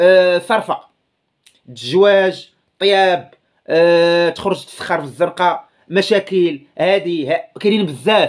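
A man with a Moroccan accent speaks at a high pitch, very slowly, with long, frequent pauses and fairly even intonation. Behind him the background is quiet. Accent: Moroccan Darija. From Morocco. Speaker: YouTuber commentator. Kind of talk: casual video commentary. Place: home room. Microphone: phone near.

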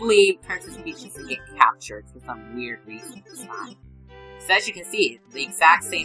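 The speaker reads aloud in a natural voice.

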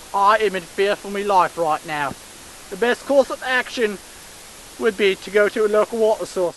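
A man with a high voice talks with ordinary pitch variation and big swings in loudness, the sound dry with no echo and light background noise. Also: moderate pace. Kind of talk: comedic mock documentary narration. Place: forest. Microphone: camera far.

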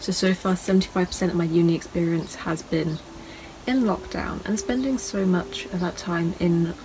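A soft-spoken woman at a fairly slow pace, fairly low in pitch, over noticeable background noise. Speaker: photographer, art student. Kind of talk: casual talk to camera.

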